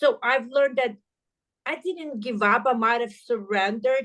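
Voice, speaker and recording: Someone with a non-native accent speaks against a quiet background. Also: woman. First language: not English. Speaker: entrepreneur. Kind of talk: podcast interview.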